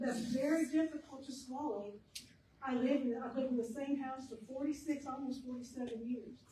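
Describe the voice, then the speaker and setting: There is audible room echo as a woman speaks in a high pitch. She uses ordinary pitch variation. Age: 70s. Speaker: public commenter at city council meeting. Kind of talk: public comment.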